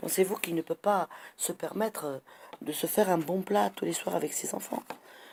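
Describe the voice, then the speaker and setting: This woman has a medium-pitched voice with lively intonation. Her tone is animated. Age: 60s. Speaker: citizen vlogger. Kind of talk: monologue complaint.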